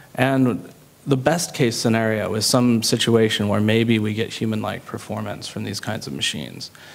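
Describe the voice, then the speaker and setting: Over noticeable background noise, a man speaks at a moderate pace with medium pitch and ordinary pitch variation. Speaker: panelist. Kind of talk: panel debate.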